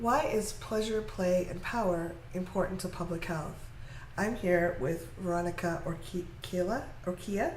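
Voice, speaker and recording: A woman speaks at a fairly slow pace, her voice carrying audible room echo over noticeable background noise. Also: medium pitch for a woman, ordinary pitch variation. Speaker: interviewer. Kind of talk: interview. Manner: stuttering today.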